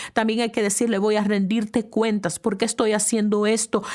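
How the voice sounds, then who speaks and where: In a very clean recording with a silent background, a woman talks in a fairly high voice with an animated tone. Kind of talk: talk to camera. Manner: loud.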